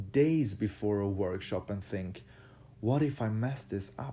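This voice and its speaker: Very slowly and with lively intonation, a man speaks in a fairly low voice with a dark, mellow tone, in a very clean recording with a silent background. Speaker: dance instructor. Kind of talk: motivational talk. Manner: halting.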